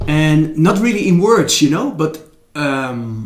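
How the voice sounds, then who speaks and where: A man with a Dutch accent speaks in a fairly high pitch, with audible room echo. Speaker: former DJ and Zen teacher. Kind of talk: interview. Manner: halting.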